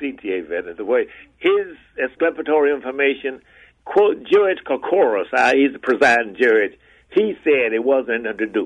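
A man with an American accent talks at a moderate pace and medium pitch, making very wide pitch swings. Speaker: former transit authority chief seeking exoneration. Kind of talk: radio interview. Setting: phone call.

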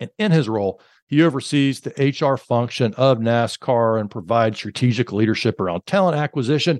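Someone with an American accent speaks at a moderate pace with lively intonation over a quiet background, the sound dry and close with no echo. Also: man. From Alabama, US South. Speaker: podcast host and corporate trainer. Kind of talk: interview conversation.

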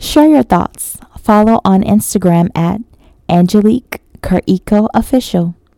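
A woman's medium-pitched voice, dark and mellow in tone, at a fairly slow pace with ordinary pitch variation, in a dry, close sound with no echo. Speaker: podcast host and poet. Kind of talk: spoken word poetry reading, rhymed verse. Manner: soft, intimate, tender and dreamy; slow, measured, rhythmic delivery.

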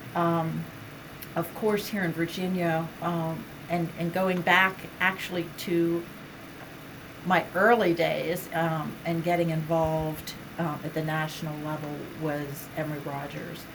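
A woman with an American accent speaks at a fairly low pitch in monotone, flat intonation, with long, frequent pauses. There is audible room echo and noticeable background noise. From Western Pennsylvania. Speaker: state building code official. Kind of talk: interview.

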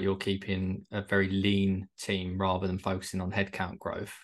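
A man speaks with a southern English accent and a fairly low pitch. The background is quiet. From Kent, England. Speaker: podcast host. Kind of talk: casual interview.

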